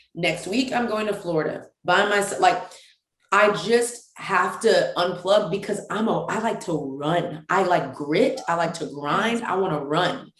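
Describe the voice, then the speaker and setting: A woman with a medium-pitched voice and an animated tone speaks at a fairly slow pace with ordinary pitch variation, and room echo can be heard. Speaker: women's ministry founder. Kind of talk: casual chat.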